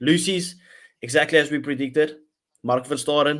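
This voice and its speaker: A man's fairly high voice with a South African accent, fairly even intonation, and a very clean recording over a silent background. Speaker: rugby podcast host. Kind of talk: casual chat.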